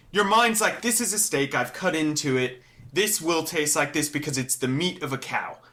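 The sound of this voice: Noticeable background noise sits under a man with a fairly high pitch and lively intonation. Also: moderate pace.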